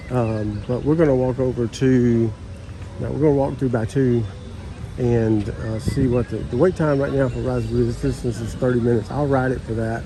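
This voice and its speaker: A medium-pitched man at a moderate pace, fairly even in intonation, with audible room echo and music in the background. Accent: Southern US. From US South. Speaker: travel vlogger. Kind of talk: casual vlog narration. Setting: outdoors at theme park. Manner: casual, many fillers.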